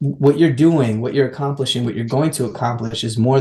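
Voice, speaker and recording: A man with a dark, mellow tone, somewhat breathy, at a fairly quick pace with ordinary pitch variation. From Mexico. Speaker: education advocate. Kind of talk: interview answer.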